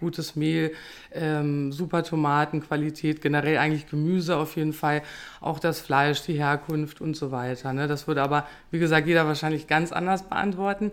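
Her voice is very deep and low, and the woman's intonation stays monotone and flat. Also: moderate pace. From Lower Saxony, Germany. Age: 30s. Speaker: restaurant owner. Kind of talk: casual chat; recipe tutorial.

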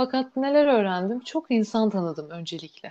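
A woman speaks with a medium pitch and a dark, mellow tone. Her intonation is lively and her pace moderate. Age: 20s. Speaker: art student. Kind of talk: casual interview. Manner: hesitant, many fillers.

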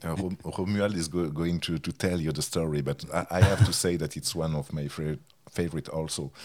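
In a French accent, a man with a very deep, low voice speaks at a fairly quick pace on a very clean recording with a silent background. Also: fairly even intonation. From France. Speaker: music journalist and author. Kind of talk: interview.

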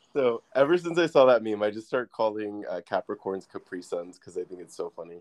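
A man has a plain, everyday voice at a medium pitch, with lively intonation. He talks at a fairly quick pace in a dry, close sound with no echo. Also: hardly any pauses, big swings in loudness. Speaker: podcast host. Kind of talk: casual chat. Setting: remote call.

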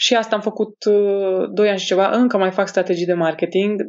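A woman's voice with monotone, flat intonation. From Romania, Alba Iulia; teens in Madrid. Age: 30s. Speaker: human design practitioner and entrepreneur. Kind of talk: casual interview.

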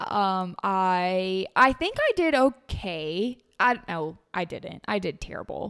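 With hardly any pauses, a woman at medium pitch talks at a very slow pace using lively intonation. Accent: Southern US. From Tennessee. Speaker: podcast host. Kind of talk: casual chat.

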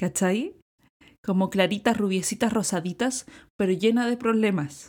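A dark, mellow tone in a Chilean accent. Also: woman. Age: 30s. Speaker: sex educator and visual artist. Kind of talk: interview. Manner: casual, with many fillers.

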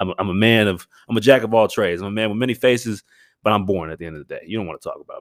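Speaking very fast with an American accent, a man has a fairly low pitch, ordinary pitch variation and big swings in loudness. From Northern Virginia. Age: 20s. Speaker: podcast host and college football player. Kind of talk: casual solo sports commentary. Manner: animated.

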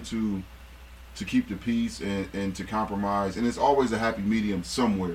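A man speaks at a moderate pace. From Akron, Ohio. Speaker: former basketball player. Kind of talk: casual chat.

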